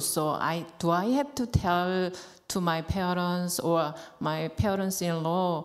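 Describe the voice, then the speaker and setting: A woman with a Korean accent talks at a fairly slow pace in a fairly low pitch. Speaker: temple member. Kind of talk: question to teacher. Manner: halting.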